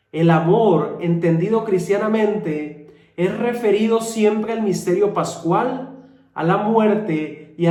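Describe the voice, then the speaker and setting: A man speaking at a very slow pace with ordinary pitch variation. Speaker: friar preacher. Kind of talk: homily.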